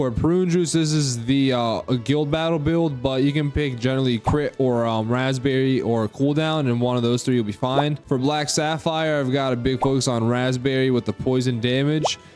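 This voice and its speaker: Music plays behind a man with a medium pitch and fairly even intonation. He barely pauses, and his loudness stays very even. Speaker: gaming YouTuber. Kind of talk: game tutorial with commentary. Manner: fast; casual, conversational.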